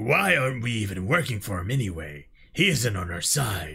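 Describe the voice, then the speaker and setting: Using a put-on character voice, a man talks at a moderate pace and a fairly low pitch. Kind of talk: amateur script read-through. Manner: doubtful, questioning.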